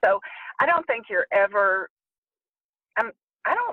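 This woman's voice sits at a fairly high pitch. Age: 60s. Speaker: therapist in private practice. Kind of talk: interview. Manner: halting.

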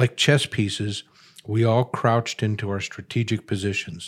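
Speaking at a moderate pace, a man uses a normal speaking voice in a medium pitch. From Chicago. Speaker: columnist and author. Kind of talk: reading aloud from his book.

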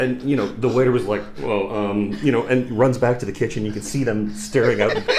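A man speaks at a fairly quick pace with hardly any pauses, his medium pitch showing ordinary variation over noticeable background noise. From Canada, Toronto. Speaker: expat in Japan. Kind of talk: casual chat. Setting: studio.

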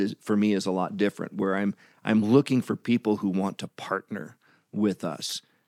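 A plain, everyday voice from a man, fairly low in pitch with ordinary pitch variation and a moderate pace, in a dry, close sound with no echo and a very clean recording with a silent background. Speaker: missionary and former pastor and music minister. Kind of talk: casual interview.

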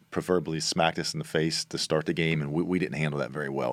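This man talks at a very fast pace with vocal fry. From northern Kentucky. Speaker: college basketball coach. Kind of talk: casual interview.

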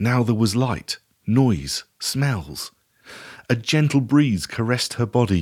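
Against a quiet background, the speaker uses a natural reading voice with ordinary pitch variation.

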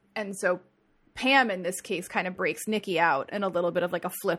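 A woman in a plain, everyday voice with an American accent, medium pitch, ordinary pitch variation and a moderate pace, on a very clean recording with a silent background. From New Jersey. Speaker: podcast co-host. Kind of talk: casual chat.

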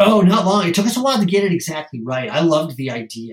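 His voice has a somewhat breathy quality. The man talks fairly quickly, with lively intonation. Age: 40s. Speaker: drinks company founder. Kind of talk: interview.

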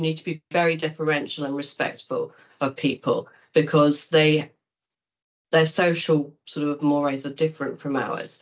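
A woman's very deep, low voice moves along at a fairly slow pace. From Kent, England. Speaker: news editor and media founder. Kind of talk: interview conversation.

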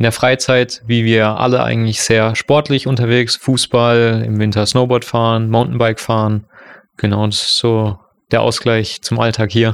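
At a moderate pace, a man speaks with little pitch movement. His medium-pitched voice has a clear, smooth tone.

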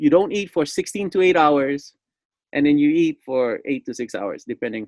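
Recorded with a dry, close sound and no echo, a man talks with a Hawaiian accent. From Hawaii, Lanai. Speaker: musician and music teacher. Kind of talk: casual chat.

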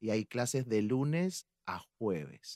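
With a plain, everyday voice, a man speaks at medium pitch with lively intonation in a dry, close sound with no echo. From Argentina, La Plata (Buenos Aires). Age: 40s. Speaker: salsa dance teacher. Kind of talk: casual chat.

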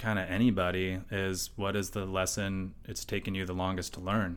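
Fairly low pitch and a moderate pace in a man's normal speaking voice. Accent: American. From USA. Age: 30s. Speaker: artist. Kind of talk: casual interview chat. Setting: artist's studio.

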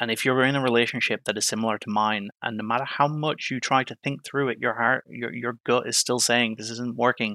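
A man speaks in a flat monotone at a medium pitch, his bright, sharp tone captured dry and close with no echo, on a very clean recording with a silent background and hardly any pauses. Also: fairly quick pace. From Ireland. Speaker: EMT. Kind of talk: interview, personal story.

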